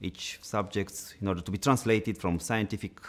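With a Romanian accent, a man speaks at a fairly slow pace with ordinary pitch variation. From Romania, Bucharest. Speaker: dental science lecturer. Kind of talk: interview. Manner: halting, many filler sounds. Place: studio.

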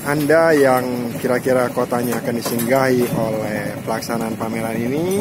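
Loud background noise surrounds a man speaking. His moderate pace comes through a dry sound with no echo. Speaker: vlogger. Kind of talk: casual vlog chat. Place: street. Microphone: phone near.

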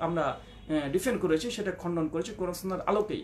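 A man talks with fairly even intonation against noticeable background noise. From India. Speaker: Islamic preacher. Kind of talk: rebuttal talk.

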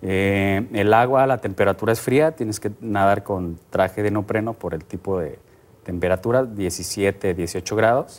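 This is a man with a normal speaking voice at a fairly low pitch. He talks at a fairly slow pace with ordinary pitch variation. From Mexico. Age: 30s. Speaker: triathlete; guest. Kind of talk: TV interview. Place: studio. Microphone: lapel.

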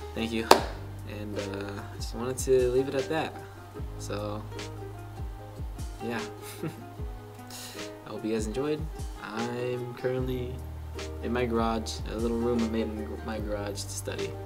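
A man with long, frequent pauses and clear music in the background. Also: moderate pace. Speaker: exchange student vlogger. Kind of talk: casual vlog chat. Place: garage. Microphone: camera far.

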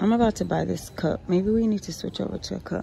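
A woman talks at a moderate pace with ordinary pitch variation and a dark, mellow, somewhat breathy tone, in a dry sound with no echo and light background noise. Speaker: couponing vlogger and mom. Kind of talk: casual vlog with a frustrated, venting rant about her toddler's sleep and leaky bottles. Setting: shopping at a store and in her car, filming herself. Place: shop. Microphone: phone near.

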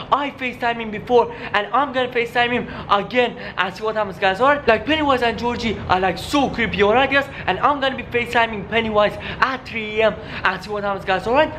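A man talks in a raised, projected voice at a very fast pace. His intonation stays fairly even over light background noise. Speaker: youtuber. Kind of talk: casual vlog chat. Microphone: phone near.

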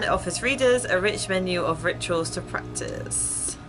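At a moderate pace, the voice carries over music that is clearly heard in the background. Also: woman. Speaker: gaming streamer. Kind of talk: let's play commentary, reading game text aloud. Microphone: headset.

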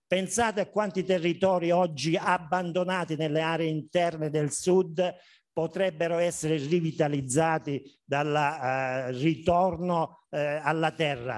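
The voice moves at a fairly slow pace with fairly even intonation. The background is quiet. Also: man, fairly high pitch for a man. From Basilicata, southern Italy. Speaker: agronomist, conference speaker; conference speaker. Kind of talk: conference talk. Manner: hesitant, many fillers. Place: hall. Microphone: camera far.

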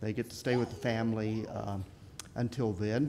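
A moderate pace marks the man's speech, with light noise in the background. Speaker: pastor. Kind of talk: church announcements. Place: church. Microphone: podium.

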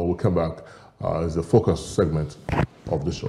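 At a fairly quick pace, a man talks in a dark, mellow tone that is somewhat breathy. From Nigeria. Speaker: TV news show co-host. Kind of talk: TV talk show hosting. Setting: TV studio. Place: studio. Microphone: lapel.

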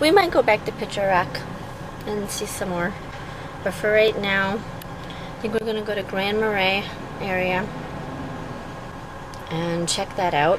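Fairly even in intonation and fairly slow in pace, the voice comes through a dry sound with no echo amid noticeable background noise. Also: woman. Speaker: travel vlogger. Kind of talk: casual vlog chat. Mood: relaxed, chatty. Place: car. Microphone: phone near.

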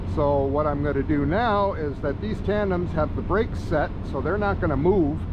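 Over noticeable background noise, a man speaks in a dry sound with no echo. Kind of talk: casual vlog tutorial. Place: open country. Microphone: phone near.

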